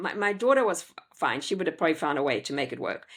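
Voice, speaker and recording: A woman with a South African accent speaks with very wide swings in pitch. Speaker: homeschooling parent and educator. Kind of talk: interview conversation.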